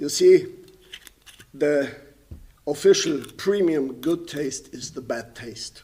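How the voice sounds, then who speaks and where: With a German accent, this voice moves at a very slow pace with ordinary pitch variation over noticeable background noise. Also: man. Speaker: painter and composer. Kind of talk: lecture. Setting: stage with audience.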